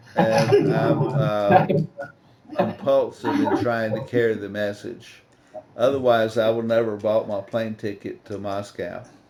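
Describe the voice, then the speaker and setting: Noticeable background noise sits behind the speech. A man talks at a fairly slow pace. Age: 70s. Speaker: recovering addict speaker. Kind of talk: testimony. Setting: video call.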